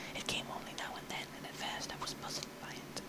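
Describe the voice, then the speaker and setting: Over noticeable background noise, the speaker whispers fairly quickly. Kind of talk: audiobook reading. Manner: whispered; soft, relaxing.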